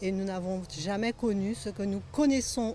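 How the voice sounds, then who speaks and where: A woman speaks slowly-ish at a medium pitch, with ordinary pitch variation. Her tone is dark and mellow, and somewhat breathy. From Martinique, Le Carbet. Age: 60s. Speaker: local resident. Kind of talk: documentary interview.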